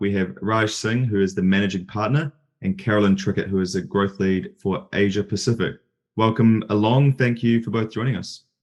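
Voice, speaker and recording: With a New Zealand accent, a man talks at a fairly low pitch over a quiet background. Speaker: podcast host and software company CEO. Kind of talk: interview.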